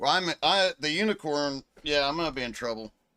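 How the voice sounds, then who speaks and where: A man with an American accent speaks in a bright, sharp tone with lively intonation, recorded with a dry, close sound with no echo and a very clean, silent background. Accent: Texas accent, stronger when angry. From Texas. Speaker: sim racing streamer. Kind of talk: live gameplay stream chat. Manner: casual, talkative.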